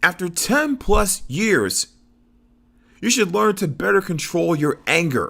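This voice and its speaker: Recorded very cleanly against a silent background, a man speaks very slowly with a high, bright, sharp voice, very wide pitch swings, and very even loudness. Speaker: wrestling commentator. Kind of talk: opinion rant to camera. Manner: stammering.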